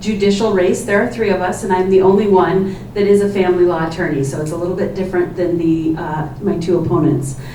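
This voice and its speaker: Against noticeable background noise and audible room echo, a woman with an American accent speaks at a medium pitch. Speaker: judicial candidate, family law attorney. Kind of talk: candidate opening statement at forum. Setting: public forum in library with microphone. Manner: loud.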